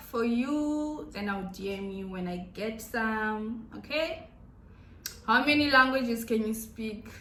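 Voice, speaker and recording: The speech comes at a fairly slow pace with ordinary pitch variation, audible room echo, and noticeable background noise. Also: woman. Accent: Zimbabwean. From Zimbabwe. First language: Shona. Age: 20s. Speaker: YouTuber. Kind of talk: casual Q&A vlog.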